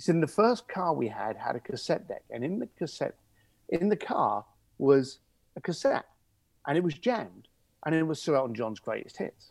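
Speaking with a London accent, a man uses a fairly high pitch, vocal fry, very wide pitch swings, a moderate pace and long, frequent pauses. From East London, England (Irish family). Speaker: luxury concierge business owner. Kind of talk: interview. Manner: animated storytelling.

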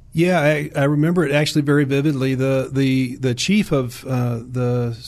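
A man with an American accent speaks at a medium pitch in an ordinary speaking voice. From US South (Virginia, Williamsburg area). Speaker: army veteran and orthopedic surgeon. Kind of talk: interview. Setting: studio.

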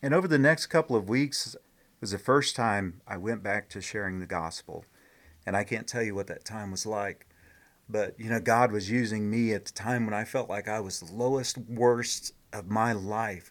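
In an ordinary speaking voice with an American accent, a man with a fairly low pitch speaks at a moderate pace with ordinary pitch variation and big swings in loudness in a very clean recording with a silent background. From Indianapolis, Indiana, US Midwest. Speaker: minister and missionary. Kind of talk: testimony.

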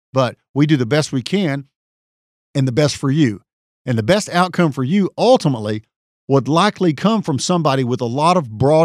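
With an East Texas accent, a man speaks at a moderate pace and fairly high pitch with lively intonation, in a dry, close sound with no echo. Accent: East Texas Southern US. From East Texas (Tyler). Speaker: personal injury trial lawyer. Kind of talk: solo podcast monologue. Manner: hesitant, frequent fillers.

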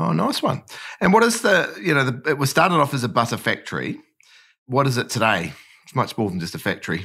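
With a New Zealand accent, a man talks at a very fast pace and medium pitch in a bright, sharp tone with vocal fry and very wide pitch swings, on a very clean recording with a silent background. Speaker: podcast host. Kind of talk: interview.

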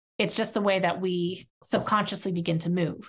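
Somewhat breathy and fairly low-pitched, a woman speaks with monotone, flat intonation. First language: not English. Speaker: podcast host and therapist. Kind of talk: solo educational podcast talk. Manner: casual, filler-heavy.

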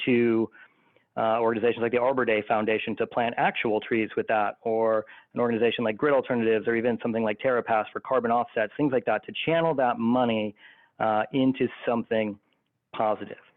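A man with an ordinary speaking voice talks at a fairly quick pace, his medium pitch carrying fairly even intonation. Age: 40s. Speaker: creative agency co-founder. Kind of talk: casual chat.

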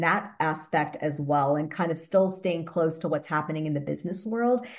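A woman speaks with an American accent in an ordinary speaking voice. Her pace is moderate. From US Midwest, Wisconsin. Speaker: fitness and wellness entrepreneur. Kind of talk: interview.

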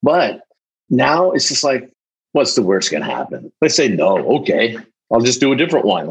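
This man speaks at a moderate pace with vocal fry. His pitch swings very widely. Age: 50s. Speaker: recovering alcoholic, salesperson. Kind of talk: interview, personal testimony.

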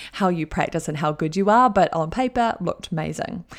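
Fairly quick New Zealand-accented speech from a woman, with vocal fry and ordinary pitch variation, on a very clean recording with a silent background. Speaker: life coach and podcast host. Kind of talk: motivational solo podcast talk. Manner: animated.

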